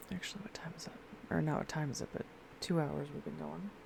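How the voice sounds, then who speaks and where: A soft-spoken woman with a dark, mellow tone. Her voice is somewhat breathy. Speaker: live streamer. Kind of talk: casual gaming stream chat. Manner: quiet, soft-spoken.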